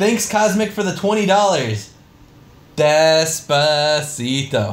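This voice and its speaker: With lively intonation and a fairly high voice, a man speaks at a very slow pace amid audible room echo. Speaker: streamer. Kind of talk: live stream Q&A reading donations. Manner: loud; halting.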